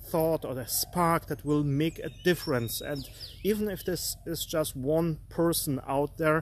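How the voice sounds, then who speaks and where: A man with a non-native accent speaks at a fairly slow pace and a fairly high pitch. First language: not English. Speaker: art coach. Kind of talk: live stream motivational talk. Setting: live stream. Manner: halting, many fillers.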